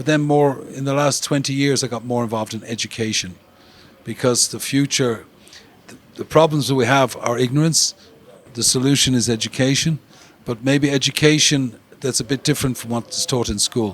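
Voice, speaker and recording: Against noticeable background noise, a man with an Irish accent and a medium pitch talks at a moderate pace with fairly even intonation. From Ireland. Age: 70s. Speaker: music industry promoter. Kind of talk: interview.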